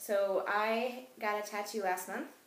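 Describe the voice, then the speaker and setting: Behind a woman's fairly even intonation, noticeable background noise can be heard. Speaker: essential oils class instructor. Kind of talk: educational class presentation. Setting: home recording with puppies barking.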